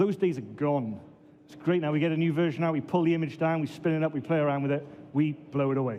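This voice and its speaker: In a Welsh accent, a man with a fairly high pitch talks at a very fast pace and fairly even intonation, with noticeable background noise and audible room echo. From Wales, Swansea. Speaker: database administrator and conference speaker. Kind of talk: conference talk.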